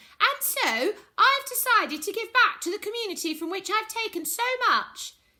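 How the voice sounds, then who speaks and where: A woman uses a put-on character voice, squeaky and extremely high in pitch. She speaks at a moderate pace in a raised, projected voice. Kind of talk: mock television statement. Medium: read story.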